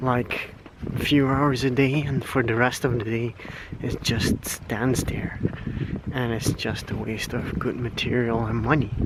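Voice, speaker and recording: Over noticeable background noise, a man with a Flemish accent speaks at a fairly slow pace with fairly even intonation. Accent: Flemish Dutch accent in English. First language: Dutch. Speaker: vlogger. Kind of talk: casual vlog rant. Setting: outdoors, walking at night. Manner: halting, many fillers.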